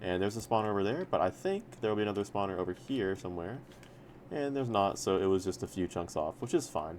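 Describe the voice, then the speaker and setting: Speaking at a very fast pace, this man has a fairly low pitch. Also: ordinary pitch variation. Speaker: minecraft speedrunning coach. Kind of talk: tutorial. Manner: casual, filler-heavy.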